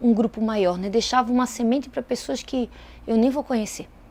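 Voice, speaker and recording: Her pitch fairly high and her tone dark and mellow, a woman talks at a fairly quick pace. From Brazil, Itajaí, Santa Catarina. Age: 30s. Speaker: lawyer and politician. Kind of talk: interview testimony.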